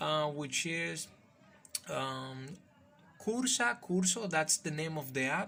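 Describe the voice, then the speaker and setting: A man speaks in a high voice with a bright, sharp tone. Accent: non-native. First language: Spanish. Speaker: call center worker and YouTuber. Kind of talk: casual vlog. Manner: halting, with fillers.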